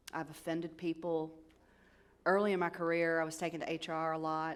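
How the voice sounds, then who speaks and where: A woman with a Southern US accent speaks at a fairly low pitch, with audible room echo. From US South. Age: 50s. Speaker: cybersecurity executive advisor. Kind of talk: conference keynote talk. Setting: stage with audience. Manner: animated.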